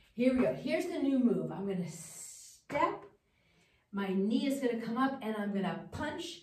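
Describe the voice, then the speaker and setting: A woman's lively intonation at a fairly slow pace, with audible room echo and noticeable background noise. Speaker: fitness instructor. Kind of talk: workout instruction. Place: gym. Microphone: camera far.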